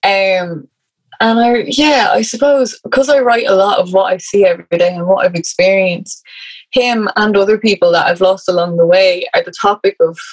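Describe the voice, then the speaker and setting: In an Irish accent, a woman with a medium pitch talks at a moderate pace. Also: ordinary pitch variation. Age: 20s. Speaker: writer. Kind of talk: interview conversation.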